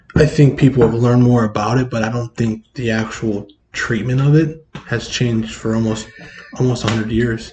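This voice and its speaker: Over music in the background, a man at medium pitch talks at a fairly quick pace with fairly even intonation. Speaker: podcast host. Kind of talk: casual conversation. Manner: halting, repetitive phrasing.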